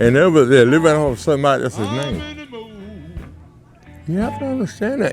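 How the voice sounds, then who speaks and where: A man's fairly high pitch with very wide pitch swings, over music in the background. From Arkansas, American South. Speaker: blues singer. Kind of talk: interview answer. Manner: blunt, profane.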